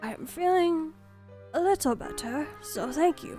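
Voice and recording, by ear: A raspy, put-on character voice from a woman at a moderate pace, with clear music in the background.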